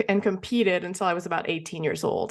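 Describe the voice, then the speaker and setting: The voice carries a Quebec accent with ordinary pitch variation. The background is quiet. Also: woman. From Quebec, small town near Montreal. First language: French. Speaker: entrepreneur, former figure skater. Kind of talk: podcast interview. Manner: hesitant, many fillers.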